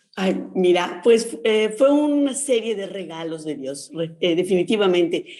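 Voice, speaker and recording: An ordinary speaking voice with lively intonation moves at a fairly slow pace. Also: woman. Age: 60s. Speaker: nurse and sex educator, book author. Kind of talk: radio interview.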